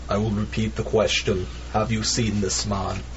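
Over loud background noise, a man speaks in a put-on character voice. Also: moderate pace. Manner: firm, menacing.

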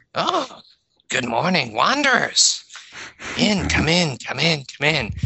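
In a put-on character voice, a man speaks at a fairly slow pace with a high pitch and very wide pitch swings. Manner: welcoming.

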